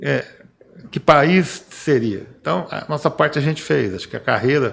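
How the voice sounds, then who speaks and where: Using lively intonation and vocal fry, a man with a fairly high pitch speaks at a moderate pace, his loudness swinging widely. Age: 60s. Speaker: civil engineer. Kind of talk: podcast panel discussion. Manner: halting, with repetitions.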